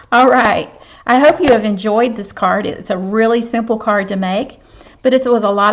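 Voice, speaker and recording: A woman talks at a fairly quick pace with a Southern US accent. Her pitch varies in an ordinary way. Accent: Southern US (Georgia). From US South, Georgia. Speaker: papercraft demonstrator. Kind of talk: craft tutorial. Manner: casual, chatty.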